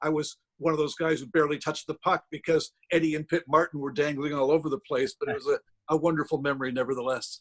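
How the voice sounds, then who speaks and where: A man with a Canadian accent speaks very fast at a fairly high pitch with fairly even intonation. The sound is dry and close, with no echo. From Windsor, Ontario, Canada. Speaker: hockey historian and author. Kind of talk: interview answer. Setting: video call.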